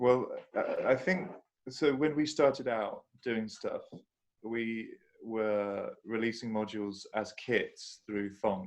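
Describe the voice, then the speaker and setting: A man with a southern English accent speaks at a very slow pace. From southern England (London, then south coast). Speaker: synth module developer. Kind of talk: casual chat. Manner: halting.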